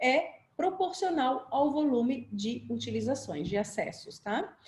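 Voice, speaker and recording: Her voice sits high in pitch for a woman. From Brazil, Florianópolis (Santa Catarina island). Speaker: software company presenter. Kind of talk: webinar presentation. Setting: online video webinar. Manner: fast.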